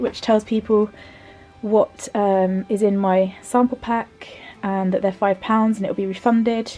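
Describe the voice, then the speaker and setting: There is noticeable background noise as a woman with an English accent talks. Her pitch is fairly high, and she speaks at a fairly slow pace with fairly even intonation. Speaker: vlogger and stationery business owner. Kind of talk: casual vlog. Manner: halting, many fillers.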